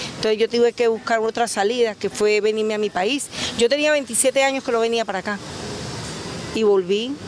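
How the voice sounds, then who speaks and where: Over noticeable background noise, a woman with a fairly high pitch talks at a fairly quick pace in fairly even intonation, leaving long, frequent pauses. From Cúcuta, Colombia, long years in Valencia, Venezuela. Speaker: street vendor. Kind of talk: interview.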